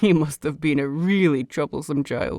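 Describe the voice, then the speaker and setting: A put-on character voice speaks at a middle pitch and a moderate pace. The tone is calm and amused. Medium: read story. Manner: calm, gently amused.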